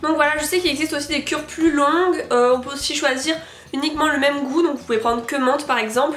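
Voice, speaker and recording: A woman with a high pitch is heard amid noticeable background noise and audible room echo. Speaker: beauty and product review youtuber. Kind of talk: product review vlog. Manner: hesitant with frequent fillers.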